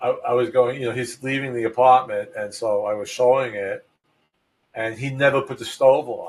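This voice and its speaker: Somewhat breathy man's voice at a medium pitch, in a Brooklyn accent. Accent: New York (Brooklyn). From New York City (Brooklyn). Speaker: real estate agent. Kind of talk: podcast talk. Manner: casual, halting with fillers.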